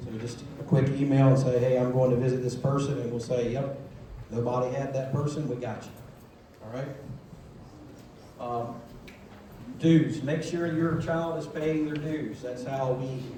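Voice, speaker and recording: Over noticeable background noise and audible room echo, a man talks at a moderate pace in a medium pitch, his intonation fairly even and his pauses long and frequent. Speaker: scout troop leader. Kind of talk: announcements at a meeting. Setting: church hall with audience.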